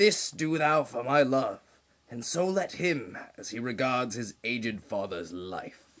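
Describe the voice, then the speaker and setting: In a put-on character voice, a man of medium pitch talks at a fairly slow pace, his pitch swinging very widely and his loudness rising and falling in big swings. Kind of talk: Shakespearean stage tragedy. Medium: stage play. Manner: declamatory.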